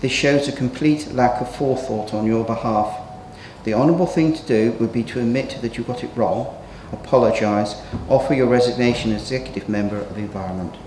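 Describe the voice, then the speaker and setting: At a fairly quick pace, a man speaks with ordinary pitch variation amid light background noise and audible room echo. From England. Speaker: local councillor. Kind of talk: council meeting debate. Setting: council chamber. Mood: critical, accusatory. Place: hall. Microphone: podium.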